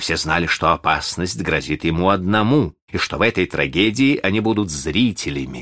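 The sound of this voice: The voice reads in an unforced reading voice with lively intonation.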